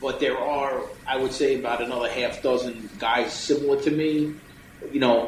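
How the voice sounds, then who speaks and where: A man with a New York accent against noticeable background noise. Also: moderate pace. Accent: New York City. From New York City. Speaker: electrician, business owner. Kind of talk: podcast interview answer. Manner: blunt, humorous.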